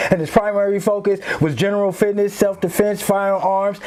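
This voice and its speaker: A man with a high voice speaks at a moderate pace in an animated tone over noticeable background noise. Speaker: podcast host. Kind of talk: casual podcast chat.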